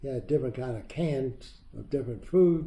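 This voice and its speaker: With an American accent, a man speaks at a moderate pace and medium pitch in a dark, mellow tone that is somewhat breathy. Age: 90s. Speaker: WWII veteran and Dachau liberator. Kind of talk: interview answer, recounting war memories.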